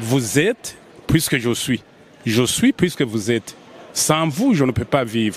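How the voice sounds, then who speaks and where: A man talks very slowly, with long, frequent pauses and noticeable background noise. His medium pitch shows ordinary variation. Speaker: government representative. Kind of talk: interview statement.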